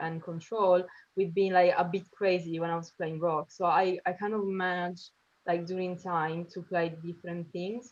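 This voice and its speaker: A speaker with an Italian accent talks in a monotone with flat intonation. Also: woman. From Italy, Sicily. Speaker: drummer. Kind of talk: casual interview. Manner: hesitant, many fillers.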